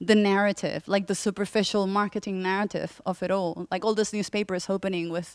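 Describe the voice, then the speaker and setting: In a very clean recording with a silent background and a dry, close sound with no echo, a woman at medium pitch speaks with a Spanish accent. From Spain. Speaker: journalist and author on technology. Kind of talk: panel discussion. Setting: festival conference stream with audience.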